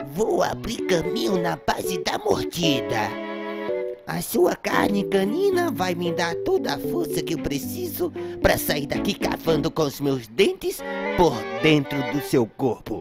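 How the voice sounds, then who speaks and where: Loud music plays in the background behind a put-on character voice. The voice has a low-to-middle pitch and a fairly slow pace. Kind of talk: comic overacting. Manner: menacing, melodramatic threats.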